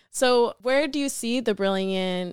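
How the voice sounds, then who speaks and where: A woman with an American accent speaks at a very slow pace, her pitch varying in an ordinary way. The recording is very clean, dry and close, with no echo and a silent background. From US South, Atlanta. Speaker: intern podcast host. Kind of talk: interview.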